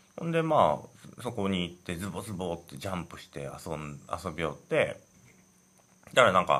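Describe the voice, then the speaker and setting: A man speaks in a very deep, low pitch with a bright, sharp tone. His loudness swings widely, while his pitch varies in an ordinary way. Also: moderate pace. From Hiroshima, Japan. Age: 40s. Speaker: podcast host. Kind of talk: casual storytelling. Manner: halting.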